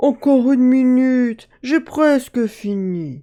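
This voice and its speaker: A put-on character voice at a fairly slow pace with ordinary pitch variation. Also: woman, high pitch for a woman. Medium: read story.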